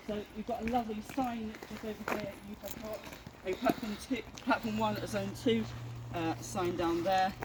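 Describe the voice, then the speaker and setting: A man with high pitch and ordinary pitch variation at a moderate pace, amid noticeable background noise. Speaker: train spotting vlogger. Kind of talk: travel vlog walkthrough. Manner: loud; hesitant, many fillers.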